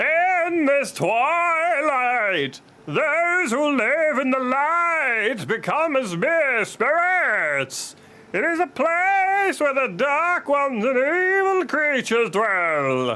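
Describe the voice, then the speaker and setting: A put-on character voice, high in pitch, speaks at a very slow pace. Light background noise can be heard. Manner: stupid, exaggerated.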